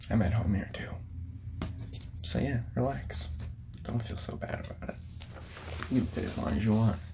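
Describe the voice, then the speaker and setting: Soft-spoken and whispering, a man talks at a moderate pace with long, frequent pauses over noticeable background noise. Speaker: ASMR artist playing a record store clerk. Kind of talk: ASMR role-play, soft-spoken customer service talk. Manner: whispered, soft-spoken.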